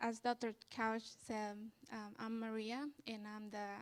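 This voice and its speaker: Speaking at a fairly slow pace in a Spanish accent, a woman uses a fairly high pitch and monotone, flat intonation. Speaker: student leader. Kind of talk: interview on stage. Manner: halting.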